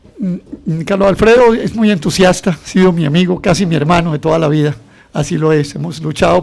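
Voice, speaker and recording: A man speaks very fast with fairly high pitch. His pitch varies in an ordinary way. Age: 60s. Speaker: politician, economist and columnist. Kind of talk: radio interview. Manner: animated.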